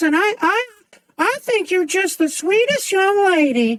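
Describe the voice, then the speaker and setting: A woman puts on a character voice pitched extremely high. She speaks at a fairly slow pace. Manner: sweet, warm, gentle.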